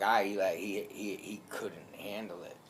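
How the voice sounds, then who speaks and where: A very slow-paced man amid audible room echo. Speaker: alligator attack survivor. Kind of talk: personal testimony. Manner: loud; hesitant, many filler ums.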